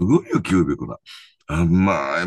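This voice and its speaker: Over a quiet background, a man talks at a moderate pace in a dry sound with no echo. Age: 70s. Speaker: professional angler. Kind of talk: casual chat.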